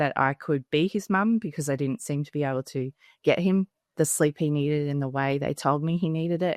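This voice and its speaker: A woman with an Australian accent speaks at a fairly quick pace and a very deep, low pitch with ordinary pitch variation. The background is quiet, and the sound is dry and close with no echo. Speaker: parenting educator, mother of three. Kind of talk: podcast interview.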